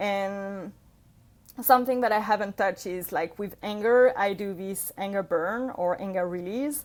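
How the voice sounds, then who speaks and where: Here a woman speaks with a non-native accent. Her pitch varies in an ordinary way. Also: very clean recording, silent background. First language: not English. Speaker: yoga practitioner, mother sharing healing journey. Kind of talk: podcast interview, personal testimony. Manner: hesitant, many fillers and self-corrections.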